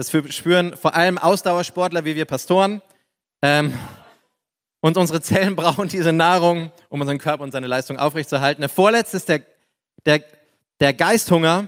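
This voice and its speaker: A man with a high pitch talks at a moderate pace in an animated tone, leaving long, frequent pauses. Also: ordinary pitch variation, dry, close sound with no echo. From Upper Palatinate, Bavaria. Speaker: pastor. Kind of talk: sermon. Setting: church.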